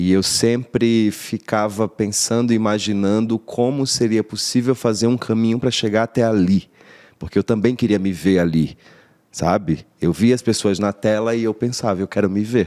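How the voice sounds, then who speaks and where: Keeping very even loudness, a man with a fairly low pitch and dark, mellow tone talks at a moderate pace with fairly even intonation. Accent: northeastern Brazilian. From Paraíba, northeastern Brazil (Rio Tinto). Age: 30s. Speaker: actor. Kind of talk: interview, life story. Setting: studio.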